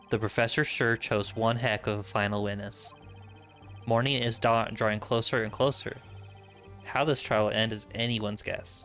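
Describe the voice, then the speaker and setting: Music plays behind a man speaking at a medium pitch. His pace is moderate and his intonation fairly even. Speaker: gaming streamer. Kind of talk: let's play commentary with reading aloud.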